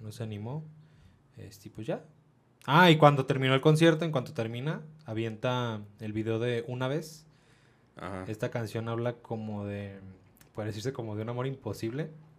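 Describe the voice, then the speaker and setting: A man with a Mexican accent talks at a medium pitch, with ordinary pitch variation. He leaves long, frequent pauses, and his loudness swings a lot. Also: moderate pace. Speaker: podcast co-host. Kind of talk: casual chat.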